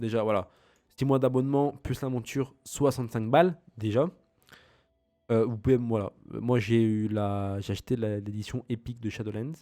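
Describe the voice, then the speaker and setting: Music plays behind a man who leaves long, frequent pauses as he talks. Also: medium pitch for a man, ordinary pitch variation, moderate pace. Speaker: gaming youtuber. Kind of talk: let's play commentary. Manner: halting.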